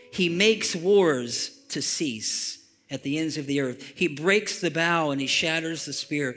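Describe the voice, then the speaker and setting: With ordinary pitch variation, a man speaks in a fairly high register as noticeable noise plays behind him. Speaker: pastor. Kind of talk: sermon; fervent closing prayer, spoken aloud to a congregation. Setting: church. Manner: halting with frequent repeats and fillers.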